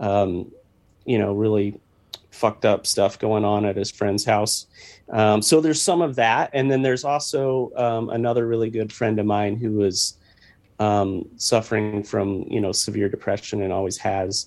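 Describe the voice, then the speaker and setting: A man with a Midwestern American accent, fairly low-pitched, at a moderate pace with ordinary pitch variation, in a very clean recording over a silent background. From US Midwest, Missouri. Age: 40s. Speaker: rock musician. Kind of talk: interview.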